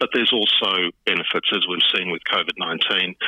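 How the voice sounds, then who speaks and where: Noticeable background noise accompanies this recording. A man with an Australian accent talks at a fairly quick pace. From Queensland, Australia. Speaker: hotel industry association chief executive. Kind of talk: interview. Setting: phone call.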